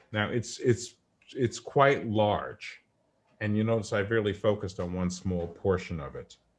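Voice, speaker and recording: A man in a strong New York accent, fairly low-pitched, with ordinary pitch variation and a fairly slow pace. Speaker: coach demonstrating a virtual whiteboard. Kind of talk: tutorial.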